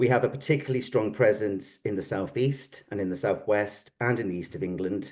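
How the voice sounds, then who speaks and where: A somewhat breathy male voice with a Welsh accent, medium in pitch, with ordinary pitch variation and a fairly quick pace. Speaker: psychotherapy organisation representative. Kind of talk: formal presentation.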